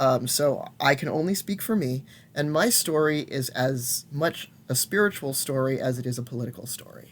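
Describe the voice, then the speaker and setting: A man's fairly high voice with ordinary pitch variation at a moderate pace. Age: 50s. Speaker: intersex elder and shaman telling life story. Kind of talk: personal testimony. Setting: recorded alone at home. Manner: halting, many fillers and restarts. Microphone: old laptop.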